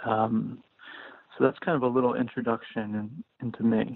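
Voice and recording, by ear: At a moderate pace, a man talks at medium pitch with little pitch movement, the sound dry and close with no echo.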